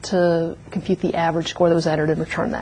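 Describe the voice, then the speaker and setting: With noticeable background noise behind her, a woman speaks in a fairly low pitch with fairly even intonation. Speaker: university lecturer. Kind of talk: lecture. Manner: fast.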